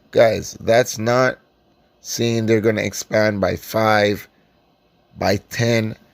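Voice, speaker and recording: Very slowly and with long, frequent pauses, a man with a Caribbean accent speaks at a medium pitch in a monotone, flat intonation. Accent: Caribbean island. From Caribbean islands. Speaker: stock investing YouTuber. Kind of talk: casual stock analysis vlog. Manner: casual, filler-heavy with frequent ums.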